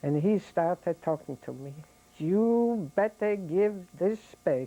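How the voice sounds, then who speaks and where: With a dark, mellow tone, a woman speaks at a medium pitch with ordinary pitch variation. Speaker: Holocaust survivor giving an oral history interview. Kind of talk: oral history interview answer, recounting memories. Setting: recorded interview, 1996.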